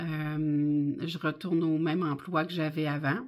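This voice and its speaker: Against a silent background on a very clean recording, a woman talks with fairly even intonation. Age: 50s. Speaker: budgeting vlogger. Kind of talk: casual vlog monologue. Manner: hesitant, many fillers.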